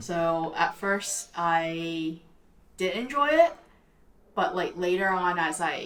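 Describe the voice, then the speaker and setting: A woman with a Cantonese accent speaks at a very slow pace with long, frequent pauses. Her pitch is fairly low, with ordinary pitch variation. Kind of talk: casual chat.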